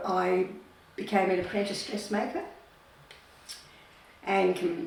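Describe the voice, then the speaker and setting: A woman's fairly low voice comes through audible room echo and noticeable background noise. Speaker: retired nurse. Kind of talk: life story interview.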